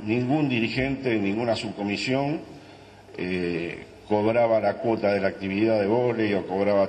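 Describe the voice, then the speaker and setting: This man speaks with a Buenos Aires accent at a fairly slow pace. His voice is fairly low in pitch, with ordinary pitch variation. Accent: Argentine Spanish (Buenos Aires). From Argentina. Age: old. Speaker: former football club director. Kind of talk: panel testimony. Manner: halting. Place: meeting room. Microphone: handheld.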